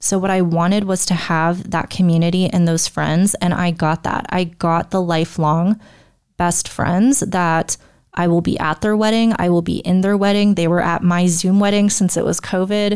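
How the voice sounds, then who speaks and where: A woman speaks in an ordinary speaking voice at a fairly low pitch and moderate pace, her intonation fairly even and her loudness very even, on a very clean recording with a silent background. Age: 20s. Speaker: online business coach. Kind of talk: solo podcast monologue. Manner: casual, conversational.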